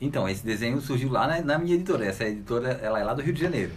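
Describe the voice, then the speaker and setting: A man's very fast speech with very wide pitch swings, noticeable background noise and audible room echo. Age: young. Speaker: book editor and writer. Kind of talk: casual radio interview. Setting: radio studio.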